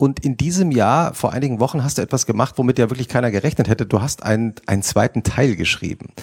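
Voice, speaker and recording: A man of medium pitch talks at a very fast pace, sounding somewhat breathy. The sound is dry and close, with no echo. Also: ordinary pitch variation, hardly any pauses. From Hesse. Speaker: magazine editor and moderator. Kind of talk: on-stage interview. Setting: stage with audience.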